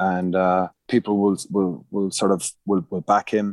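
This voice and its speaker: Spoken with a Munster Irish accent in a flat monotone, the voice has a dry, close sound with no echo on a very clean recording with a silent background. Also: man. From Ireland, Munster. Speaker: rugby coach. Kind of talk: casual chat.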